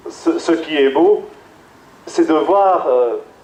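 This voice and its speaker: Very slow and high-pitched, a man talks with ordinary pitch variation. Audible room echo and noticeable background noise surround him. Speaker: priest. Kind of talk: sermon. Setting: PA system. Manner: halting.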